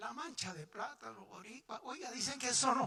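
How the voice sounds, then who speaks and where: A man with a Puerto Rican accent uses a raised, projected voice at an extremely high pitch, his tone bright and sharp. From Puerto Rico. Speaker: pastor. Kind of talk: sermon. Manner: animated, passionate.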